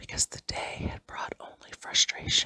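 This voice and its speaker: A woman whispering at a fairly slow pace, the sound dry and close with no echo. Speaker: ASMR hypnosis creator. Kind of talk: whispered hypnosis for relaxation. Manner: whispered, soft, slow.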